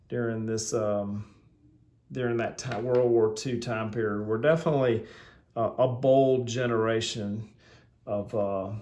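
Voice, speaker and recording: With a Southern US accent, a man at a medium pitch talks at a fairly slow pace amid audible room echo. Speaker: watch reviewer. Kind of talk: product review. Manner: halting, many fillers; casual.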